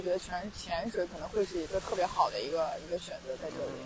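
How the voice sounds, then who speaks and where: The speech moves at a very fast pace. Background noise is noticeable throughout. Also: woman. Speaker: podcast host. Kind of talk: casual interview chat. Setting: outdoors on a beach.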